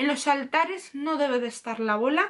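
A woman with a high pitch and an animated tone, in a quiet background. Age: 30s. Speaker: YouTuber, tarot teacher. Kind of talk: tutorial. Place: home room. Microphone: webcam.

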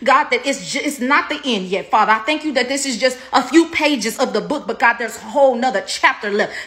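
A woman's high voice comes out raised and projected, with an intense, passionate tone. She talks fairly quickly with ordinary pitch variation. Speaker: prayer minister. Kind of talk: fervent prophetic intercessory prayer, commanding and decreeing over viewers. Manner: intense, declarative, rapid-fire repetitive invocations; passionate, exclamatory outbursts mid-prayer. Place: home room. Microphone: phone near.

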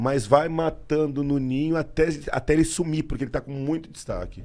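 The tone is dark and mellow. The pace is moderate. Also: man. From Brazil. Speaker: police officer and online video creator; online video creator. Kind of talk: casual chat. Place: studio. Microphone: studio mic.

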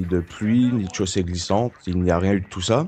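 A man speaks in a fairly low, dark and mellow voice. His intonation stays fairly even. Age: 20s. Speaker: car accident survivor. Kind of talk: testimony.

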